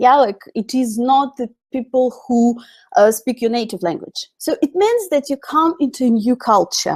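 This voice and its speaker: A woman speaks in a high voice with a dark, mellow tone and lively intonation, in a Russian accent. The sound is dry and close, with no echo. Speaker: English teacher. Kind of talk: webinar lecture. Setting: online webinar. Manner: halting.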